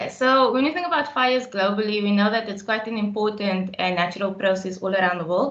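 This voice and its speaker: Over noticeable background noise, a woman at medium pitch talks very fast with hardly any pauses and ordinary pitch variation. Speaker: park scientist. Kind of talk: webinar talk. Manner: fast when excited.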